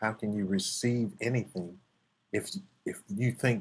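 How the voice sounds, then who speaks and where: A man at medium pitch speaks at a moderate pace with lively intonation and a somewhat breathy sound. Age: 50s. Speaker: martial arts instructor. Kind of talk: podcast interview.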